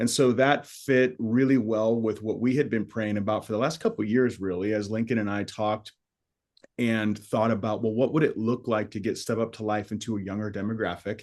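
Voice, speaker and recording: A man with an ordinary speaking voice talks at a fairly quick pace, medium in pitch, with fairly even intonation. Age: 40s. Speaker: podcast host, ministry leader. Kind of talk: casual podcast chat.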